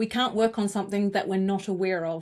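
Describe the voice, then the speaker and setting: A woman with a New Zealand accent speaks at medium pitch with fairly even intonation on a very clean recording with a silent background. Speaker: communications coach. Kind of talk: interview conversation.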